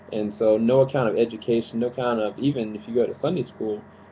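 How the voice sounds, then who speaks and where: This man uses an ordinary speaking voice, moving at a moderate pace with fairly even intonation. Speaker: preacher / sermon commentator on YouTube. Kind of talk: sermon-style commentary to camera.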